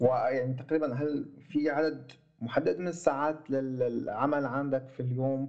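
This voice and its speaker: Speaking at a fairly slow pace in a Syrian accent, a man uses a fairly high pitch with fairly even intonation. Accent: Levantine (Syrian) Arabic. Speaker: podcast host. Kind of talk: casual interview. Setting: remote call, host in Germany.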